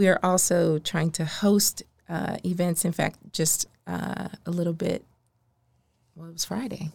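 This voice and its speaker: This is a woman with an American accent and an ordinary speaking voice. Her pitch is fairly low and her intonation fairly even. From Maryland, US. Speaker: nonprofit consultant and social entrepreneur. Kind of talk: podcast interview.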